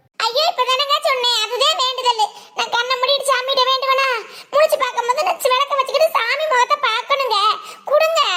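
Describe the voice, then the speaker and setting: A woman does a cartoonish character voice at an extremely high pitch. She keeps a moderate pace, ordinary pitch variation and very even loudness. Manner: plaintive, earnest.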